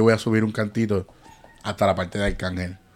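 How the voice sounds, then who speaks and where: A man with a fairly low voice at a fairly quick pace, over noticeable background noise. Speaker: podcast host. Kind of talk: casual chat.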